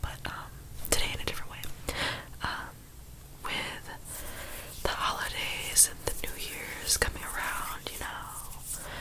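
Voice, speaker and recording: A woman whispers at a very slow pace, pausing long and often over noticeable background noise. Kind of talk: ASMR diary reading, storytime. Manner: soft-spoken, whispered.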